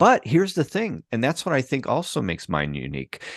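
A man with an American accent, very wide pitch swings and vocal fry, in a dry, close sound with no echo over a quiet background. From Chicago, US Midwest. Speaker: documentary filmmaker. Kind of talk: interview conversation. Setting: remote video call.

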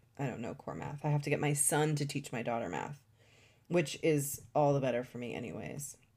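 On a very clean recording with a silent background, a woman talks at a moderate pace in a very deep, low pitch with vocal fry and ordinary pitch variation. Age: 40s. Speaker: astrologer and podcast host. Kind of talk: solo podcast monologue. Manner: halting, with many fillers.

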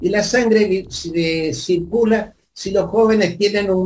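A man speaks with ordinary pitch variation. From Argentina, Santa Fe. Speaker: former community club leader. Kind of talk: interview reminiscence.

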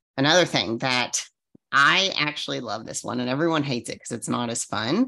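A woman with an American accent, a very deep, low pitch, a bright, sharp tone and ordinary pitch variation, against a quiet background. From Arizona. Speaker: fitness coach and bodybuilder. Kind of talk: solo podcast monologue. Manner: casual, chatty with filler words.

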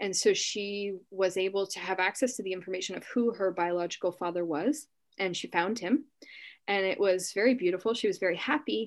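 On a very clean recording with a silent background, a woman speaks at a fairly quick pace. She has an ordinary speaking voice, medium in pitch with ordinary pitch variation. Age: 20s. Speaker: psychic medium. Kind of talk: casual chat.

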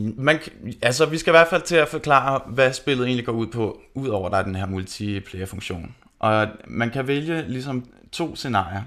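A man with a normal speaking voice talks at a moderate pace with a medium pitch and lively intonation. The recording is very clean, with a silent background. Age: 30s. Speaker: metal band lead singer, podcast guest. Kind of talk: casual chat.

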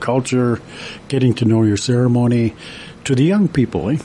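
A man with a Canadian accent speaks at a moderate pace in a medium pitch. His pitch variation is ordinary, and there is noticeable background noise. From Canada, Alberta and northern British Columbia. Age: 60s. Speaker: construction worker and amateur painter. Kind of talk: interview. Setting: radio studio. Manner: relaxed, hesitant with many fillers.

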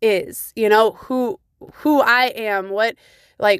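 Here is a woman with a fairly high pitch and ordinary pitch variation. She has an unremarkable speaking voice, recorded dry and close with no echo. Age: 30s. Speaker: podcast host. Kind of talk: solo podcast monologue.

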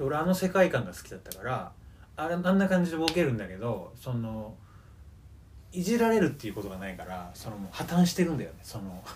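Audible room echo surrounds a man with a somewhat breathy voice. He moves at a fairly quick pace with very wide pitch swings. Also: fairly high pitch for a man, big swings in loudness. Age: 20s. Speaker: podcast co-host. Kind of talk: casual chat. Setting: recording at co-host's home.

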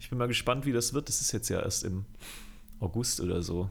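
The speaker is a man with a medium pitch. He keeps a moderate pace and ordinary pitch variation. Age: 20s. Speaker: music video director. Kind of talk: casual chat.

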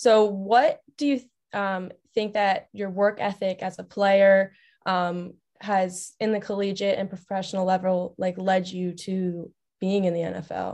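In an American accent, a woman of medium pitch talks at a fairly slow pace with monotone, flat intonation against a quiet background. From Long Island, New York. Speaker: student podcast co-host. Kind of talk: casual chat.

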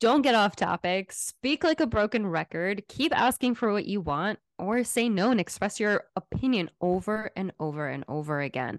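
Speaking at a moderate pace with hardly any pauses, a woman uses medium pitch and very wide pitch swings, the sound dry and close with no echo over a quiet background. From Israel. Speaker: licensed therapist and podcast co-host. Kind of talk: casual chat.

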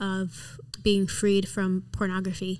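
A woman of medium pitch speaks very slowly with an American accent. The recording is very clean, with a silent background. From New York City, the Bronx, then Michigan. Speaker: church worship leader. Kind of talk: testimony. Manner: halting.

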